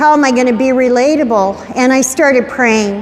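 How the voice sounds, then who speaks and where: Amid noticeable background noise, a woman speaks at a high pitch with ordinary pitch variation. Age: 70s. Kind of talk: talk to teenagers at youth group. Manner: conversational.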